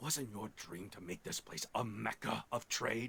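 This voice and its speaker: A man's put-on character voice, fairly low in pitch. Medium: video game. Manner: brusque.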